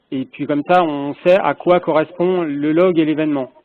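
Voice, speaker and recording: The speaker is a man. His pitch is fairly high. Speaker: project stakeholder asking questions. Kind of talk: meeting discussion. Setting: phone call. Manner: speaks softly. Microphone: echo on the phone line.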